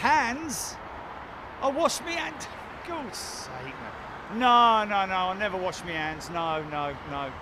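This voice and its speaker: Over noticeable background noise and audible room echo, a man speaks at a very slow pace. His voice is high, with very wide pitch swings. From London. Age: 60s. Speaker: live stream host, planespotting commentator. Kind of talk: live commentary. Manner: casual, animated.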